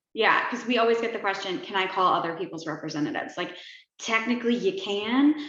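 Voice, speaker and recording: With audible room echo, a woman talks at a very fast pace, her fairly high pitch making very wide swings. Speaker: activist group founder. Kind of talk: online town hall chat.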